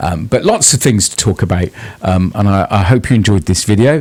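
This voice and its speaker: With a British accent, a man speaks at a moderate pace in a somewhat breathy voice. His pitch swings very widely. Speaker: music youtuber and radio presenter. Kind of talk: casual video monologue. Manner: halting.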